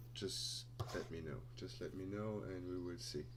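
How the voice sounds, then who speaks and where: Somewhat breathy speech with a non-native accent, very wide pitch swings, a fairly slow pace and audible room echo. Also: man. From Luxembourg. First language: Luxembourgish. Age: 20s. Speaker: crypto trader and streamer. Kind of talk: live stream Q&A. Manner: halting.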